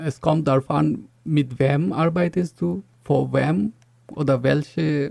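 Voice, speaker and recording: A man with a Bengali accent, fairly high pitch and a dark, mellow tone, at a very slow pace, in a dry, close sound with no echo. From Bangladesh. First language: Bengali (speaking German). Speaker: software engineer, university graduate. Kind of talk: interview. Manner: halting, many fillers.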